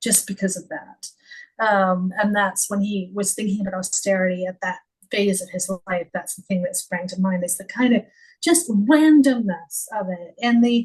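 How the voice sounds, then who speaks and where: A woman with a Canadian accent, somewhat breathy, at a medium pitch and moderate pace, with ordinary pitch variation and big swings in loudness. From Canada. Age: 50s. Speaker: former editor and author. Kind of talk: podcast interview. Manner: halting.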